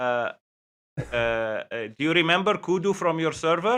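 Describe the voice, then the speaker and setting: A man with a Lebanese accent talks at a fairly slow pace, his pitch fairly high. His tone is bright and sharp, and his pitch swings very widely. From Lebanon.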